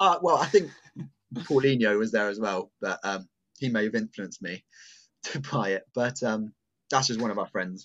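A man's voice with long, frequent pauses, big pitch swings and a fairly bright tone

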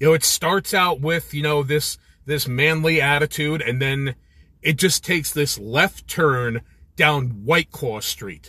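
A man with an American accent speaks at a fairly slow pace with a fairly high pitch. His tone is bright and sharp, with ordinary pitch variation. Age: 40s. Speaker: podcast host. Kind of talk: solo opinion monologue. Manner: casual, opinionated.

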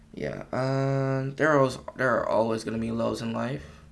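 A man at a fairly slow pace, ordinary pitch variation, audible room echo. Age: young. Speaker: podcast host. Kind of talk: solo casual monologue. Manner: casual, hesitant with many fillers.

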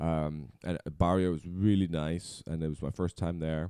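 In a Dutch accent, a man speaks at a moderate pace with a very deep, dark and mellow voice and fairly even intonation, on a very clean recording with a silent background. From Netherlands. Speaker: content creator. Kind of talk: casual chat.

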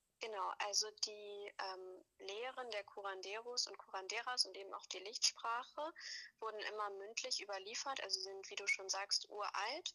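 Moderate-paced, medium-pitched speech from a woman in an unremarkable speaking voice. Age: 20s. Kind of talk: interview.

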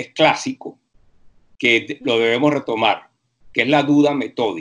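A man with a Venezuelan accent speaks fairly slowly in a fairly high pitch, his intonation lively. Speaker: university professor. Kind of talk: interview.

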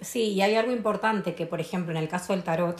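Somewhat breathy and fairly low-pitched, a woman talks at a fairly quick pace with ordinary pitch variation. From Argentina, Tucumán. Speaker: podcast guest on astrology and spirituality. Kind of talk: casual chat.

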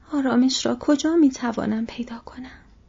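A woman uses a put-on character voice with a high pitch, a dark, mellow tone, a husky, rough edge, vocal fry and ordinary pitch variation.

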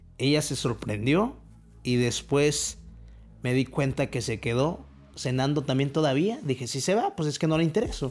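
At a moderate pace, a man uses a normal speaking voice at medium pitch, recorded very cleanly against a silent background. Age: 20s. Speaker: motivational podcaster. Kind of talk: motivational monologue.

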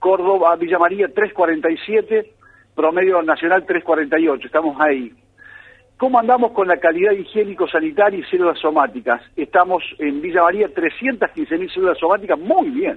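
A man's high-pitched voice at a fairly slow pace, with lively intonation. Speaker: dairy sector analyst. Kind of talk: radio report.

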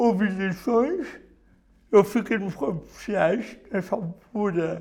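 With lively intonation and a high pitch, a man speaks at a very slow pace. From Portugal, Viseu district. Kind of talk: testimony.

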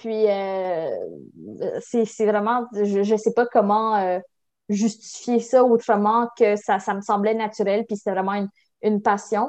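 In a fairly high pitch and monotone, flat intonation, a woman speaks at a very slow pace over a quiet background. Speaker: university student. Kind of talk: interview. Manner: halting.

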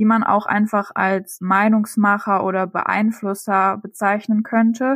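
An unremarkable speaking voice from a woman, fairly high in pitch, with fairly even intonation, a fairly slow pace, and a very clean recording with a silent background. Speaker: student and travel blogger. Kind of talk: interview. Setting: studio.

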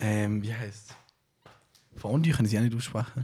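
At a moderate pace, a man talks at a medium pitch with a dark, mellow tone. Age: 20s. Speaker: podcast host and musician. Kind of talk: casual chat. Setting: at home, on sofa.

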